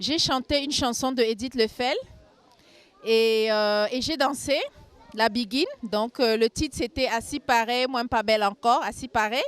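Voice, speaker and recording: A fairly slow, fairly even voice in a Cameroonian accent, with music in the background. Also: woman, high pitch for a woman. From Cameroon, Yaoundé. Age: 40s. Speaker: carnival queen. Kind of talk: street interview.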